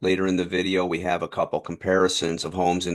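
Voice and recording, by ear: A man speaks in a low voice with an American accent. His pace is fairly quick.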